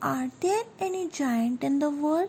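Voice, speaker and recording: A woman's high, put-on character voice at a fairly slow pace, over clear background noise. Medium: read story. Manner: timid, anxious.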